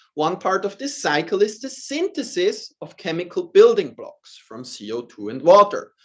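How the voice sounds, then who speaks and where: A man with a Swiss accent at a moderate pace, hardly any pauses, and big swings in loudness. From Switzerland. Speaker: professor. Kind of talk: lecture.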